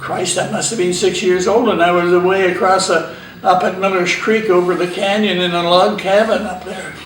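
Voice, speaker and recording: Amid noticeable background noise and audible room echo, a man talks in a high pitch at a moderate pace with monotone, flat intonation and hardly any pauses. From Canada, Vancouver Island, British Columbia. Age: 80s+. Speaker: pioneer family elder interviewed about local history. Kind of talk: oral history interview. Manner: casual, halting with fillers.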